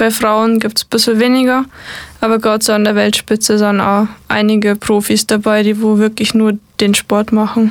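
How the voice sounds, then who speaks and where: Her fairly high voice stays monotone and flat, with very even loudness, as the woman speaks at a moderate pace. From Bavaria, Upper Bavaria. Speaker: mountain bike marathon racer. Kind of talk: casual interview.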